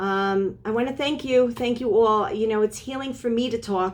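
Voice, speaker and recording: A woman speaks at a moderate pace with fairly even intonation. Hers is an unremarkable speaking voice. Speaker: spiritual teacher and energy healer. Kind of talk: inspirational lecture to a women's group.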